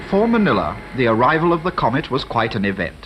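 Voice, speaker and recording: Very wide pitch swings at a fairly quick pace over noticeable background noise. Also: man. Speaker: air correspondent reporting a newsreel. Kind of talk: 1950s newsreel narration.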